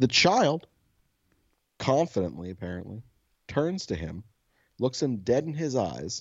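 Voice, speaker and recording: A man speaks at a fairly slow pace with vocal fry, very wide pitch swings, and long, frequent pauses. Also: medium pitch for a man. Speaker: podcast co-host. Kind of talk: casual banter. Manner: soft-spoken.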